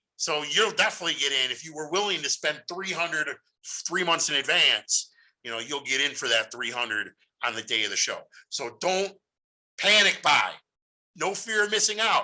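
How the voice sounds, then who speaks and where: A loud man with a high, bright, sharp voice talks in an animated way at a moderate pace, his pitch swinging very widely between long, frequent pauses. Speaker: podcast host. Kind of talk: casual monologue.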